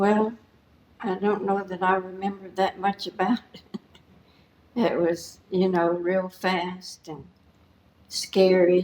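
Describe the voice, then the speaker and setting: A woman with a Southern US accent speaks very slowly at a medium pitch, flat and monotone, with long, frequent pauses. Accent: Southern American. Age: 80s+. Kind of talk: interview answer. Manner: quiet.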